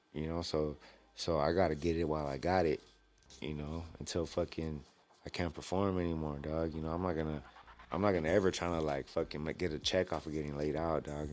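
A man with a very deep, low voice and an American accent. He talks fairly quickly, with fairly even intonation. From Los Angeles, San Gabriel Valley. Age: 30s. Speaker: professional MMA fighter. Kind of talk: casual interview.

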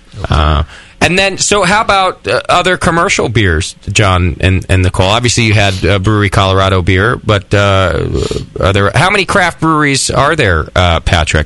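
A man's fairly low voice with very wide pitch swings and very even loudness, at a moderate pace, amid noticeable background noise. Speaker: radio host. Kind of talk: casual banter. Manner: joking, animated.

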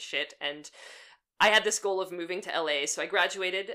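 A woman with a slight Pittsburgh accent talks at a fairly quick pace. Her tone is bright and sharp, with ordinary pitch variation. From Western Pennsylvania. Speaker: animator and storyboard artist. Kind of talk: casual interview chat.

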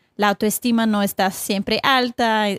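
A woman with a Brazilian accent, fairly high pitch and moderate pace, in a dry, close sound with no echo on a very clean recording with a silent background. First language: Portuguese (speaking Spanish). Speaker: accountability coach. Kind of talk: casual interview.

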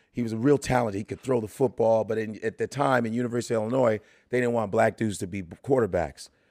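Speaking at a very fast pace, a man with a medium pitch keeps a fairly even intonation on a very clean recording with a silent background and a dry, close sound with no echo. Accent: Chicago. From Chicago, north side. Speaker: comedian. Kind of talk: casual interview chat.

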